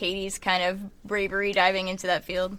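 Her tone comes across bright and sharp. This woman keeps to a moderate pace. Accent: American. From Michigan, US Midwest. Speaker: indie band musician and songwriter. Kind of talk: casual interview chat.

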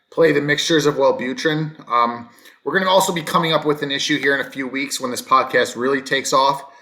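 With an American accent, a man speaks at a fairly quick pace, his pitch fairly high and his intonation lively. Noticeable background noise runs underneath. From US East Coast. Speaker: podcast co-host. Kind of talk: casual chat.

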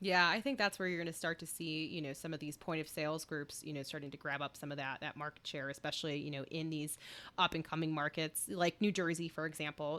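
The tone is bright and sharp, with an American accent and fairly even intonation. The recording is very clean, with a silent background. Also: woman. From US Midwest, Chicago. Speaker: podcast host. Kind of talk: casual interview chat.

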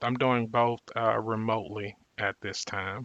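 A man with an American accent, a bright, sharp tone and a very slow pace, set against a quiet background. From US South, Mississippi. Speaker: public health fellow and doctoral student. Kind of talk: interview. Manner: hesitant, many fillers.

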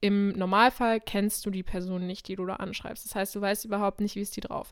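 A woman speaks at a medium pitch. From Krefeld, western Germany. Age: 20s. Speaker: podcast co-host and model. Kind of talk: casual chat. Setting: remote recording over the internet.

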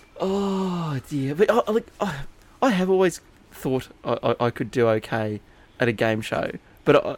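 Very wide pitch swings mark the speech of a man with an Australian accent. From Inverell, New South Wales, Australia. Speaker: podcast host. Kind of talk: casual chat.

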